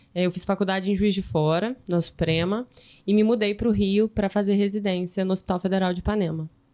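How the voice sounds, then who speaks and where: With a plain, everyday voice, a woman talks at a fairly quick pace in a medium pitch, her loudness very even and her intonation fairly even. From interior of Minas Gerais, Brazil. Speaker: medical resident in gynecology. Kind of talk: podcast interview.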